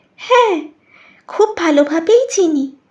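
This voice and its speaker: A woman uses a squeaky put-on character voice at an extremely high pitch. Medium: audio drama. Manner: soft, insinuating, knowing.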